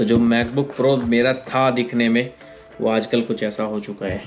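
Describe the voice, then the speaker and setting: Faint music plays in the background. Over it, a man talks with monotone, flat intonation. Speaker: vlogger. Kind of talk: casual vlog chat. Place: home room. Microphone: phone near.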